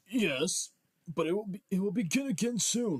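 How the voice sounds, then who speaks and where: This man adopts a put-on character voice, pitched high and delivered at a moderate pace. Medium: read story. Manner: fretful.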